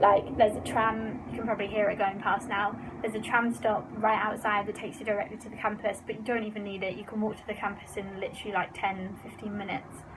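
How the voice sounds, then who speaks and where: A very fast woman's voice in a British accent over noticeable background noise. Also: fairly high pitch for a woman. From England. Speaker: student vlogger. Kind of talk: casual vlog Q&A. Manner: animated.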